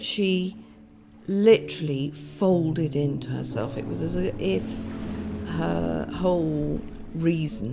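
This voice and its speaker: Soft-spoken, a woman talks at a very slow pace with long, frequent pauses over noticeable background noise. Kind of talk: documentary interview answer.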